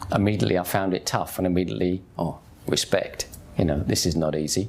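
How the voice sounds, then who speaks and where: A very fast pace in a Cockney accent, with very even loudness and fairly even intonation. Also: man. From England, East End of London (Hackney). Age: 50s. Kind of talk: testimony. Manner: casual.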